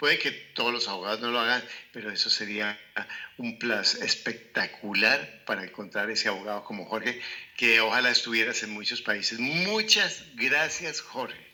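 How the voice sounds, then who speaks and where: A man speaks at a moderate pace. Noticeable noise sits in the background. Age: 60s. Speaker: real estate investment educator. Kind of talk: interview conversation.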